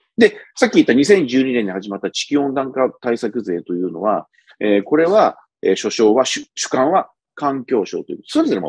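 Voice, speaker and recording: A man talks at a fairly quick pace with big swings in loudness, his dry sound carrying no echo against a quiet background. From Japan. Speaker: policy commentator, former bureaucrat; political commentator. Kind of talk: solo commentary monologue. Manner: conversational with many fillers. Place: home room. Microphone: earbuds.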